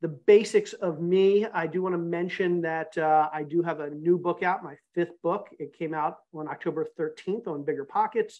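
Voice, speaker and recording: Speaking with hardly any pauses, a man keeps a high pitch and fairly even intonation. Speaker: real estate investor and author. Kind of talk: webinar presentation. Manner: fast.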